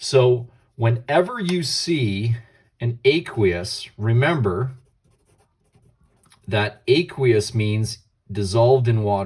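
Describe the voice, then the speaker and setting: A somewhat breathy man's voice, very slow, with long, frequent pauses. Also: medium pitch for a man, lively intonation. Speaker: chemistry teacher. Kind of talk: lecture.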